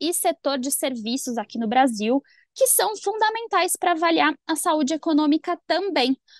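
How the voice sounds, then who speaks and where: The recording of this woman sounds dry and close with no echo, and her pitch swings very widely. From São Paulo, Brazil. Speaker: economist co-host. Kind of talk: finance talk show. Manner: formal.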